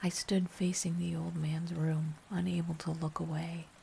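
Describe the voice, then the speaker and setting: The whispering moves at a fairly slow pace. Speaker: ASMR horror narrator. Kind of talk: ASMR scary story narration. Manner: whispered.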